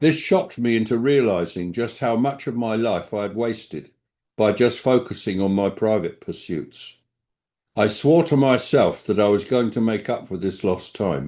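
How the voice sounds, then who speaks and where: Against a quiet background, a dark, mellow tone moves at a moderate pace with lively intonation in a southern English accent. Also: man, medium pitch for a man. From England, London. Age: 80s+. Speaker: quality management consultant. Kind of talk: award acceptance speech. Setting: stage at award ceremony. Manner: formal.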